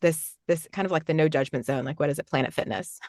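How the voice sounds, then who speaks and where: A woman's unremarkable speaking voice, fairly low in pitch with ordinary pitch variation, in a dry, close sound with no echo and a quiet background. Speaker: voice actor; podcast host. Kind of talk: casual interview conversation.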